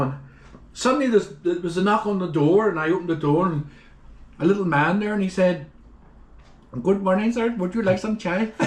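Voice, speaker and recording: In a Northern Irish accent, a man with a high pitch speaks at a moderate pace with lively intonation. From Northern Ireland. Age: 70s. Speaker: traveler. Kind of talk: casual chat.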